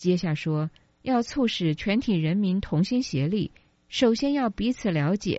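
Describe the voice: With lively intonation, the passage is read aloud plainly.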